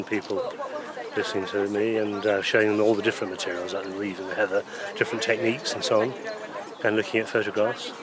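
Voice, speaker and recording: Crowd noise fills the background. A man with a fairly low pitch speaks at a fairly quick pace. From northern England, Scarborough, Yorkshire. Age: 60s. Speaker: thatcher. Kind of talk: interview.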